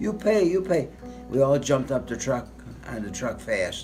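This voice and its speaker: A man's fairly high voice with very wide pitch swings at a moderate pace, music in the background. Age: 80s+. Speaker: war veteran. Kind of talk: interview answer.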